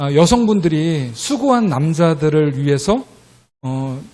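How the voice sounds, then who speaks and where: This voice belongs to a man. His pitch sits fairly high. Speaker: missionary. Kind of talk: missionary report in church service. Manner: hesitant with frequent fillers.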